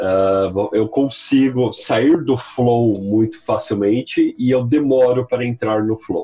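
With music in the background, a man talks at a very slow pace with ordinary pitch variation. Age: 30s. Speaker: marketing executive and freelancer. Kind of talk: casual chat.

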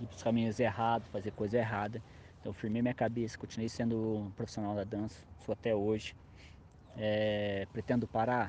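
Monotone, flat intonation marks speech delivered fairly quickly. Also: man, fairly low pitch for a man. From interior of São Paulo state, Brazil. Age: 20s. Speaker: hip hop dance choreographer. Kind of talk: casual interview.

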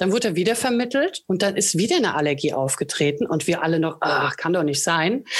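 Over noticeable background noise, a woman talks at a very fast pace with hardly any pauses and very even loudness. Her medium-pitched voice has lively intonation. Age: 30s. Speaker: animal shelter volunteer. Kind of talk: interview.

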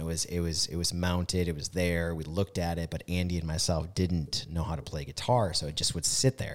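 A man with an American accent talks at a fairly quick clip, barely pausing, his pitch very deep and low. The recording is very clean, with a silent background. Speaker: podcast co-host, business owner. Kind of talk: casual chat. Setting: studio.

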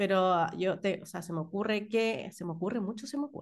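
Against a quiet background, a woman with a Chilean accent speaks at a medium pitch with ordinary pitch variation. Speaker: podcast co-host. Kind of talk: casual chat.

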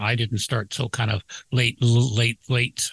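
A man speaks in a plain, everyday voice at a moderate pace and medium pitch. The sound is dry and close with no echo, and the background is quiet.

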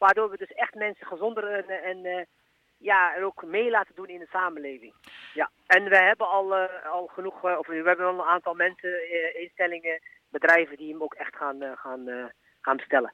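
A man with a high pitch speaks at a moderate pace, his pitch varying in an ordinary way while his loudness swings widely. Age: 30s. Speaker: personal coach. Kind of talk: interview. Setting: phone call. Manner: halting, many fillers.

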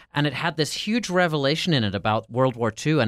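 A man with an Irish accent is heard on a very clean recording with a silent background and a dry, close sound with no echo. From Ireland. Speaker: podcast producer. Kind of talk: casual chat.

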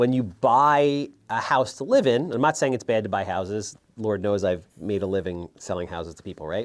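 A man with a plain, everyday voice and an American accent speaks at a moderate pace with hardly any pauses, in a fairly low pitch. His intonation is lively and his loudness swings widely, on a very clean recording with a silent background. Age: 40s. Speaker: real estate investor. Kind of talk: interview.

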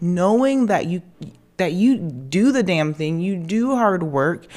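An animated tone and lively intonation mark a woman's medium-pitched voice. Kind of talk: pep talk. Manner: animated, emphatic and warmly hyped-up, repeating 'so proud of you'; direct, affectionate, swearing for emphasis.

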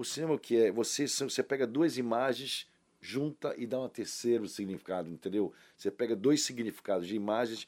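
Recorded very cleanly against a silent background, a man speaks at a moderate pace in a medium pitch with ordinary pitch variation. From Brazil, Salvador (Bahia). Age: 60s. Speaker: actor. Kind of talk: casual interview. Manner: animated.

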